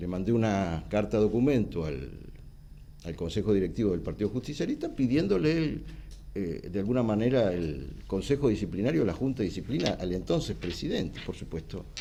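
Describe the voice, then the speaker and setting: A dark, mellow tone with vocal fry, very wide pitch swings and a fairly quick pace, in a Rioplatense accent. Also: man, fairly low pitch for a man. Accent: Argentine Rioplatense Spanish. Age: 60s. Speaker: politician. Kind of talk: TV interview. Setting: TV studio.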